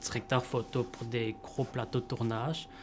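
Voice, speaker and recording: Over music in the background, a man with a medium-pitched voice talks at a fairly slow pace. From Montreal, Quebec. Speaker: camera operator. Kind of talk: interview. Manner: hesitant, many fillers.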